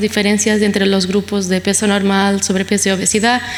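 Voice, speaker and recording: Amid noticeable background noise, a woman with a Portuguese accent speaks at a fairly quick pace. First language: Portuguese (speaking Spanish). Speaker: pediatric nephrologist. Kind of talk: conference lecture. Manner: fast; hesitant, many fillers.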